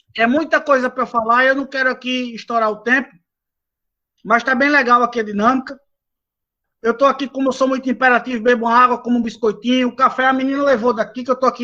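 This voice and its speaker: Raised, projected voice of a man at extremely high pitch, bright and sharp in tone, with fairly even intonation and a fairly quick pace. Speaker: lecturer on renewable energy; engineer, doctorate holder. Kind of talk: lecture. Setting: video call from home balcony. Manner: fast.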